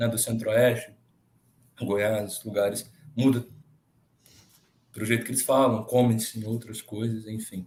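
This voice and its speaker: A man's somewhat breathy, medium-pitched voice, monotone and flat, at a fairly slow pace with long, frequent pauses. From Minas Gerais, Brazil. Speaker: contest participant. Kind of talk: casual chat.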